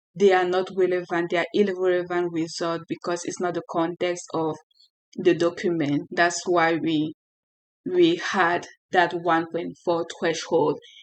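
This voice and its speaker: A woman speaks with a French accent in a fairly low pitch. Her pace is fairly slow and her intonation is monotone and flat. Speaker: software developer, tech tutorial creator. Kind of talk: tutorial. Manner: halting, with self-corrections.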